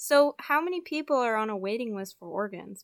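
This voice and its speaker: A woman with an American accent at a fairly quick pace, her pitch swinging very widely, on a very clean recording with a silent background. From Utah. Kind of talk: scripted student podcast conversation.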